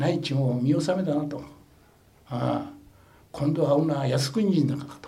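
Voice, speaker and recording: Audible room echo surrounds the speaker. He is a man with a fairly high pitch. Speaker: war veteran. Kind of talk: testimony.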